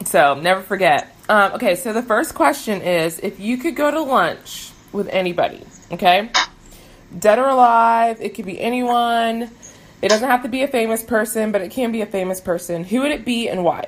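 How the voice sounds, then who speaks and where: A woman talks with lively intonation, keeping to a moderate pace. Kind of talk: casual interview. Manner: warm, enthusiastic, laughs often.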